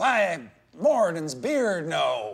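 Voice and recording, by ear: This is a put-on character voice in a Southern accent. It sits at a middle pitch.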